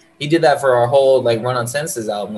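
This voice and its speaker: A man speaks at a fairly quick pace and a medium pitch. His voice is somewhat breathy. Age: 20s. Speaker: rapper. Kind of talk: casual chat. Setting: video call. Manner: animated.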